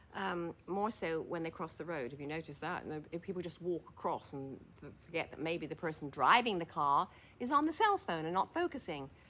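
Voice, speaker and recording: With an English accent and a fairly low voice, a woman talks fairly quickly with hardly any pauses, ordinary pitch variation and big swings in loudness. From England. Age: 80s+. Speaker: former fashion model and senior lifestyle vlogger. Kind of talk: casual monologue to camera. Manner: hesitant, with fillers and false starts.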